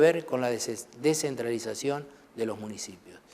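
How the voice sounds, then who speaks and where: This is a man speaking. He has a Rioplatense accent. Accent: Argentine Rioplatense Spanish. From Argentina, Buenos Aires province interior (Trenque Lauquen). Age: 60s. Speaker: parliamentary secretary of a legislature. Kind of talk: TV interview.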